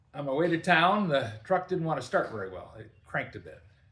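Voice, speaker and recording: The speech moves at a fairly quick pace, with audible room echo around it. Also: man. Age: 70s. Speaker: workshop video host, DIY mechanic. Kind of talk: casual storytelling to camera. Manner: relaxed, conversational with fillers.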